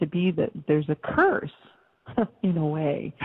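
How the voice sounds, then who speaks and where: A woman speaks in an unremarkable speaking voice, her pitch fairly low. She talks at a moderate pace. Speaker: radio show host. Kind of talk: casual radio talk.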